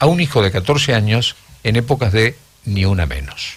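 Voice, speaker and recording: Pitched at a medium level, a man's voice moves in very wide pitch swings. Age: 70s. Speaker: radio host. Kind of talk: radio interview.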